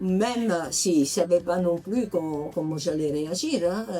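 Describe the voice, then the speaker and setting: A woman's medium pitch with ordinary pitch variation at a fairly slow pace, with music in the background. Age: 80s+. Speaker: patient giving a testimonial. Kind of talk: interview answer.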